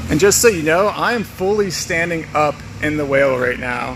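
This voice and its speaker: Noticeable background noise sits behind a man with an American accent. His pitch is fairly high with ordinary variation, and his pace is moderate. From US South (Georgia, near Atlanta). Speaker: wildlife conservation educator. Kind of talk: live educational walkthrough. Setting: inside an inflatable whale, livestream. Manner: animated.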